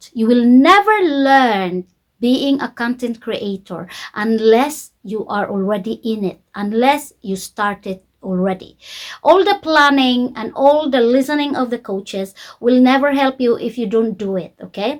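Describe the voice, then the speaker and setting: A woman speaks at a fairly slow pace with a non-native accent and a fairly high pitch. The recording is very clean, with a silent background. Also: lively intonation. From Philippines. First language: not English. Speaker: YouTube coach. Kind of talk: tutorial. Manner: slow, simple English.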